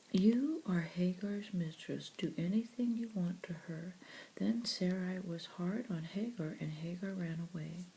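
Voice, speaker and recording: Soft-spoken and gentle in tone, the voice moves at a fairly slow pace. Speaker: audio Bible reader. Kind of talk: soft-spoken Bible reading. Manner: soft-spoken, gentle.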